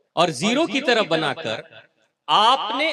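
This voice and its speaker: Here a man speaks in a high pitch. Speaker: spiritual discourse speaker. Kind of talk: religious discourse to a live audience. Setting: hall with live audience and PA. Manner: soft-spoken.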